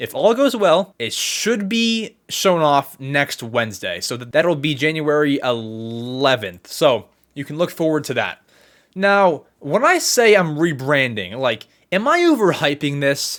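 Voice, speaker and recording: Fairly high-pitched and animated, a man speaks at a fairly slow pace with very wide pitch swings. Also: very clean recording, silent background. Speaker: podcast host. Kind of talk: casual chat.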